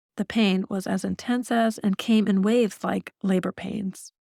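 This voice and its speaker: A woman with an ordinary speaking voice and fairly even intonation, dry and close with no echo, in a very clean recording with a silent background. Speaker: author and audiobook narrator. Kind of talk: audiobook memoir narration.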